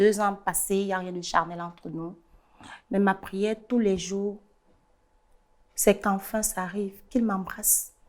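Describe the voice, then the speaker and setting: A woman of medium pitch talks at a fairly slow pace in a monotone, flat intonation, with long, frequent pauses. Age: 30s. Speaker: guest sharing personal story. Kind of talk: testimony. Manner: halting, repeats words.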